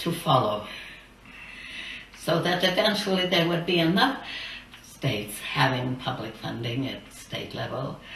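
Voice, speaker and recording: Pausing long and often, a woman with a fairly low pitch speaks at a fairly slow pace with very wide pitch swings, against audible room echo and light background noise. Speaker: campaign finance reformer. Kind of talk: recorded address to a legislature. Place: studio.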